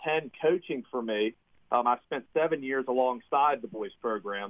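Here a man with an American accent talks at a moderate pace. His pitch is medium, with ordinary pitch variation. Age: 30s. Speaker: high school basketball coach. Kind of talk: radio interview. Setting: phone call. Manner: hesitant, many fillers.

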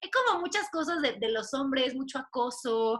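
A woman's high-pitched voice, bright and sharp in tone, at a moderate pace. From Mexico, Puebla. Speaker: podcast host. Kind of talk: casual chat.

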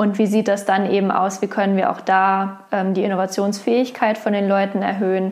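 A woman speaks at a medium pitch. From Lower Saxony, Germany (Wolfsburg). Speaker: HR innovation specialist. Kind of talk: interview. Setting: in person.

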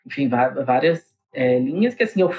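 This man has a plain, everyday voice. His pitch rises and falls in an ordinary way. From Diadema, São Paulo (ABC region), Brazil. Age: 30s. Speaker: rock band drummer. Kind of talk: casual interview chat.

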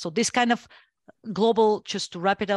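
Fairly even intonation marks this woman's voice, which has a Bulgarian accent. The sound is dry and close with no echo, over a quiet background. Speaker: geopolitical analyst and consultant. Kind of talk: interview discussion of geopolitics. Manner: measured, many filler words.

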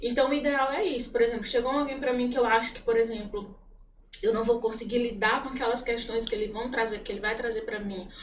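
A woman's fairly high voice at a very fast pace, fairly even in intonation, with audible room echo and noticeable background noise. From Piauí (Corrente and Teresina). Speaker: churchgoer, psychology field. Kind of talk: testimony in a casual interview.

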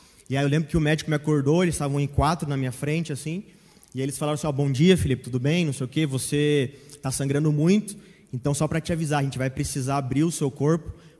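Talking at a very fast pace, a man with a fairly high, dark, mellow voice sounds somewhat breathy, his intonation fairly even. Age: 20s. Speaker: church member. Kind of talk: testimony.

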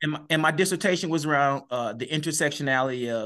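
An American accent with ordinary pitch variation against a quiet background. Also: man. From East Saint Louis, Illinois. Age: 50s. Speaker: educator and author. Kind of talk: interview.

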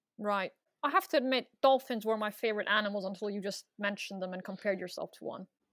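A woman speaks very fast at a medium pitch, her pitch varying in an ordinary way, with a dry, close sound and no echo. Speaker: comedian and podcast host. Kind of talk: comedic interview. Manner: rambling, hesitant, self-deprecating.

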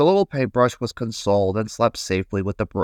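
Text read aloud in a natural voice.

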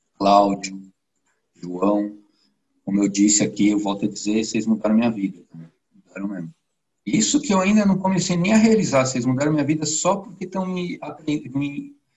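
Pausing long and often at a moderate pace, a man speaks in a somewhat breathy, medium-pitched voice with very wide pitch swings and big swings in loudness. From São Paulo, Brazil. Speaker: IT professional, course student. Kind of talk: interview.

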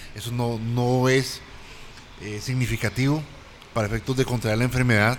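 A man of medium pitch speaks at a moderate pace in a monotone, flat intonation. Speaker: health professional, panelist. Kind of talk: panel discussion. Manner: halting, repeats words.

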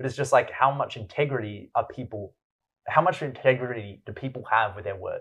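With an Australian accent, a man talks at a fairly quick pace in a medium pitch, using ordinary pitch variation and big swings in loudness over a quiet background. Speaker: entrepreneur and poet. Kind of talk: casual chat.

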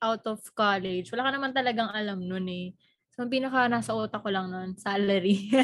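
Speaking at a fairly quick pace, a woman uses medium pitch and fairly even intonation. It is a normal speaking voice. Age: 20s. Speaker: podcast co-host. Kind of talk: casual chat.

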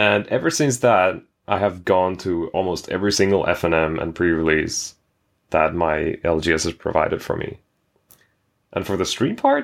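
Speaking at a moderate pace with a Finnish accent, a man has a very deep, low pitch on a very clean recording with a silent background. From Finland. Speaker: game streamer. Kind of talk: casual chat.

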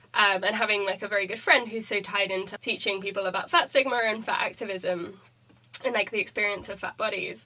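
Speaking at a fairly quick pace, a woman with a British accent keeps a medium pitch and fairly even intonation against noticeable background noise. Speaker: student podcaster. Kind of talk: casual academic discussion.

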